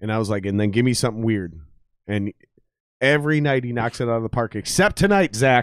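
Speaking very fast, a man uses a medium pitch with ordinary variation, recorded with a dry, close sound and no echo. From Minnesota, US Midwest. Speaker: podcast host and musician. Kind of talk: casual chat. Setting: live stream studio. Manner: animated, profane.

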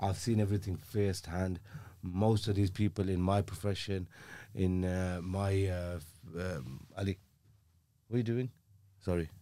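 A man with a Birmingham accent, very deep and low in pitch, dark and mellow in tone, at a moderate pace with fairly even intonation and long, frequent pauses, on a very clean recording with a silent background. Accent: Birmingham (Brummie) English. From Birmingham, England (Aston). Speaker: criminal defence legal professional. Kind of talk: casual interview chat.

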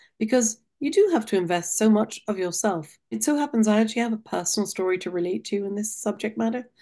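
A woman with a non-native accent, medium pitch and a dark, mellow tone, fairly quick in pace with ordinary pitch variation, over a quiet background. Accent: foreign accent, noticeable. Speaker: nonprofit president, guest. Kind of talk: interview, professional conversation.

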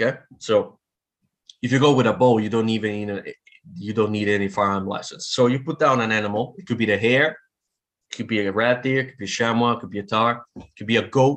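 Talking at a fairly quick pace with an Italian accent, a man uses ordinary pitch variation and takes long, frequent pauses. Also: medium pitch for a man, big swings in loudness. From Italy. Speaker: veterinarian and bowhunter. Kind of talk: casual interview. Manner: halting, repetitive.

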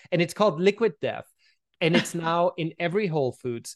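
A man speaks very fast in an Austrian accent, with high pitch and lively intonation. The sound is dry and close, without echo. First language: German. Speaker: brand strategist and author. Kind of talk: interview.

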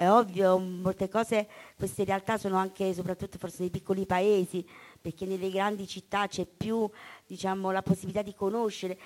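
The intonation stays monotone and flat at a fairly quick pace. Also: woman. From Basilicata, Italy (Calvello). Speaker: poet and author. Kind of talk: poetry reading and interview.

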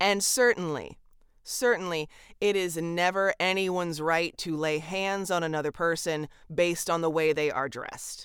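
Recorded very cleanly against a silent background, a woman with an American accent speaks at a moderate pace. Her pitch is fairly low with ordinary pitch variation. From California. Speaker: podcast co-host and voice artist. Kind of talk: casual chat. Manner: animated.

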